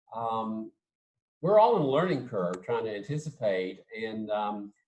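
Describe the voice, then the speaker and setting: In an American accent, a man talks with an unremarkable speaking voice, medium pitch and ordinary pitch variation. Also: fairly slow pace. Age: 60s. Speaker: theatre professor. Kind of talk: casual interview.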